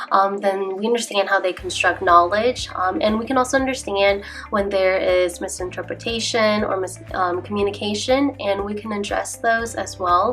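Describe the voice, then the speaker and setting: A woman talks with a Southeast Asian accent. Noticeable background noise runs under her voice. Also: medium pitch for a woman, fairly even intonation, moderate pace. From United States, Hmong immigrant family. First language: Hmong. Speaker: teacher. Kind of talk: recorded class presentation. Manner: hesitant, many fillers.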